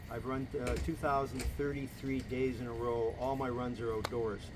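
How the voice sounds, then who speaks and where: A man speaks with a Canadian accent at medium pitch and moderate pace. His intonation stays fairly even, and the room echo is audible. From Canada, Toronto. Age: 60s. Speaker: mayoral candidate. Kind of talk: casual interview. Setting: at his home.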